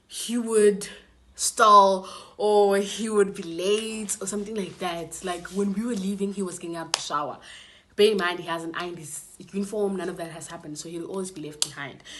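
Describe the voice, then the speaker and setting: A woman talks at a fairly quick pace in an animated tone, with audible room echo and noticeable background noise. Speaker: YouTuber. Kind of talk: story time vlog. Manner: casual, animated.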